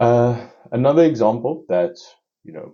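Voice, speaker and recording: A man with a non-native accent talks at a fairly slow pace, his voice carrying vocal fry. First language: not English. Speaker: podcast host. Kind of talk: solo podcast monologue. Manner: halting, many fillers and restarts.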